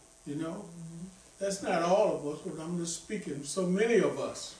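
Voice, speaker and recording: A man at a moderate pace with ordinary pitch variation, with audible room echo and light background noise. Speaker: preacher. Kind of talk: sermon. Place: church.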